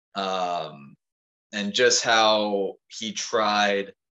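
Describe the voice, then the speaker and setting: A bright, sharp tone with an American accent. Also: man. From Maryland, US. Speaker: raw-meat eater and farm hand. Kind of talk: casual chat.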